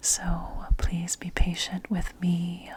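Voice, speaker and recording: Whispering from a woman, with noticeable background noise behind it. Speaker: ASMR creator. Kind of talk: ASMR soft-spoken talk. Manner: soft-spoken.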